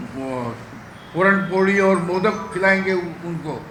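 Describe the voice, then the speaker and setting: A man with a high pitch speaks through audible room echo and noticeable background noise. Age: 70s. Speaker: politician. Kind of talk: press conference.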